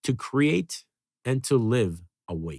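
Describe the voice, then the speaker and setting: Very wide pitch swings on a very clean recording with a silent background. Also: man. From Serbia. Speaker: podcast host. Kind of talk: scripted intro; casual interview chat.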